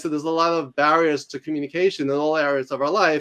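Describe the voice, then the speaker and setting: Fairly high in pitch, a man speaks at a fairly quick pace with a New York accent. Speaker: author and university instructor. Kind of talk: interview. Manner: fast; articulate.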